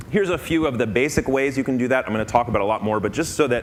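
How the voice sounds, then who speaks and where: A man at a medium pitch, very fast and with lively intonation, amid noticeable background noise. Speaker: conference speaker. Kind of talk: conference talk.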